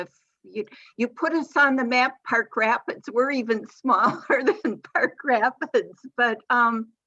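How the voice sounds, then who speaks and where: A woman speaks at a fairly slow pace with fairly high pitch. Her tone is bright and sharp, with ordinary pitch variation. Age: 70s. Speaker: webinar attendee. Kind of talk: webinar discussion.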